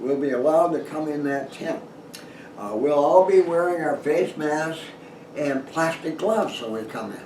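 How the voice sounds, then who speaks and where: A man's fairly high voice at a moderate pace, with ordinary pitch variation, audible room echo and noticeable background noise. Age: 80s+. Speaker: retired dentist and outdoor writer. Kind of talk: casual talk to camera. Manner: halting.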